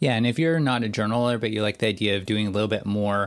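A plain, everyday voice with a Canadian accent and ordinary pitch variation. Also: man. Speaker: podcast co-host. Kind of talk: casual chat.

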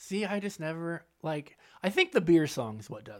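Lively intonation marks this man's unremarkable speaking voice as he talks at a moderate pace. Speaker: podcast host. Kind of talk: casual banter podcast.

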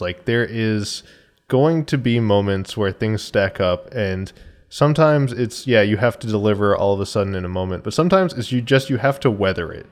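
Fairly quick and medium in pitch, a man speaks in an ordinary speaking voice with ordinary pitch variation, captured in a very clean recording with a silent background. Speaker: guest. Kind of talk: casual chat. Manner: joking, playful.

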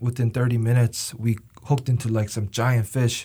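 This man has a Korean accent and a medium pitch, with a dark, mellow tone. His voice is somewhat breathy, and the recording is very clean with a silent background. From South Korea. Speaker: university student. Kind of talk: interview.

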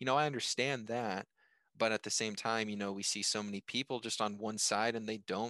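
Against a quiet background, a man with an American accent speaks at a fairly quick pace and fairly low pitch, his bright, sharp tone heard dry and close with no echo. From US. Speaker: podcast host. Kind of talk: casual chat. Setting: remote call.

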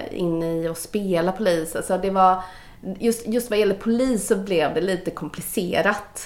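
At a moderate pace, a woman speaks in a plain, everyday voice, with medium pitch and fairly even intonation. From Gothenburg, Sweden (Majorna). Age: 40s. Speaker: casting director. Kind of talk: casual interview. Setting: office.

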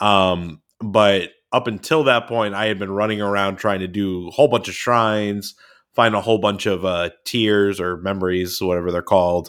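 A man talks at a moderate pace in a plain, everyday voice. His fairly low pitch carries fairly even intonation. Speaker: podcast co-host. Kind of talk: casual chat.

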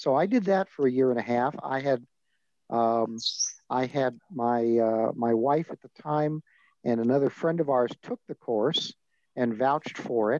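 An American-accented man at a medium pitch, dark and mellow in tone, fairly slow, with ordinary pitch variation and a dry, close sound free of echo. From Southern California. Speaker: retired advocacy leader, former organization president. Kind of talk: interview.

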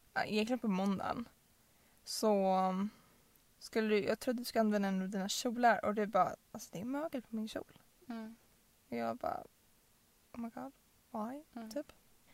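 Using a fairly high pitch with ordinary variation, a woman speaks at a moderate pace, with long, frequent pauses and big swings in loudness. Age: 20s. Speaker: podcast co-host. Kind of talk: casual chat.

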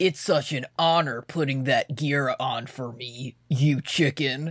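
A put-on character voice comes through at a low-to-middle pitch and a fairly slow pace. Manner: boastful.

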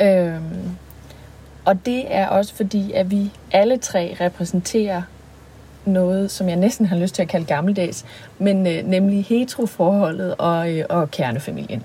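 At a fairly slow pace, a woman speaks in a dark, mellow, somewhat breathy voice of medium pitch with ordinary pitch variation. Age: 30s. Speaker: podcast co-host, singer and sexologist. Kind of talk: casual chat. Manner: hesitant, many fillers.

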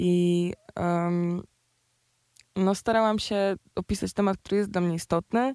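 A woman talks at a fairly slow pace in a dark, mellow tone with fairly even intonation. The sound is dry and close, with no echo. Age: 20s. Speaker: rapper. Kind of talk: casual chat.

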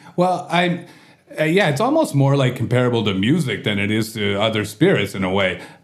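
Noticeable background noise sits behind a man with a Canadian accent and medium pitch. He talks at a fairly quick pace with very wide pitch swings. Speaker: podcast host and bar owner. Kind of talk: casual interview chat. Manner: jokey, laughs often.

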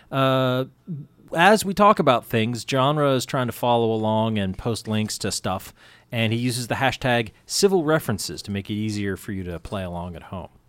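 A man with an ordinary speaking voice and medium pitch talks at a moderate pace, his intonation lively and his loudness swinging widely, on a very clean recording with a silent background. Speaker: radio host. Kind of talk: casual chat. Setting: studio.

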